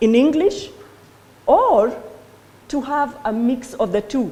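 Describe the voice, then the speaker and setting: A high-pitched woman's voice with a Kenyan accent, fairly slow, with lively intonation. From Kenya, Kikuyu-speaking. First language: Kikuyu. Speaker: law lecturer. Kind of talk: conference talk.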